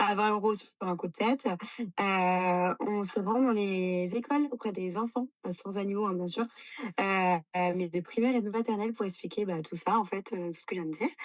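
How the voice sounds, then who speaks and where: This woman speaks at a moderate pace. Her pitch is medium, with ordinary variation. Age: 20s. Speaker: animal rescue founder and vet assistant. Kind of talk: interview. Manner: hesitant, many fillers.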